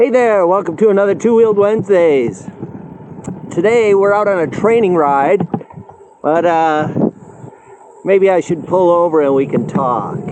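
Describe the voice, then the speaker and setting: A man's high-pitched voice at a moderate pace, with ordinary pitch variation, very even loudness, long and frequent pauses, and noticeable background noise. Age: 60s. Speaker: cycling vlogger. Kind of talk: casual vlog talk to camera. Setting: outdoors on a bike ride. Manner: hesitant, many fillers.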